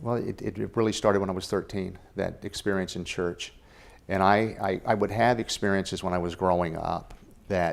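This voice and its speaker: On a very clean recording with a silent background, a man with an unremarkable speaking voice talks at a fairly quick pace, his pitch fairly low with ordinary variation. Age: 60s. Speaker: author and spiritual life coach. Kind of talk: interview.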